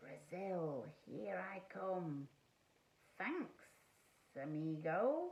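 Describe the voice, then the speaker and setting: A woman's put-on character voice, very slow, with long, frequent pauses. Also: fairly low pitch for a woman. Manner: casual, cheerful.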